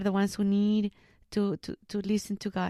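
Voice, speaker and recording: Dry and close with no echo, a woman's dark, mellow voice comes at a medium pitch and a moderate pace. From Mexico, Jalisco. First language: Spanish. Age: 30s. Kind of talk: interview about vocation. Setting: school library.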